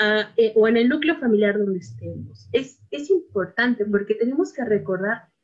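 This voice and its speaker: With lively intonation and a somewhat breathy quality, a woman talks at a fairly slow pace in a fairly high voice. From Mexico City, Iztapalapa. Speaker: storyteller and poet. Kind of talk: interview; storytelling.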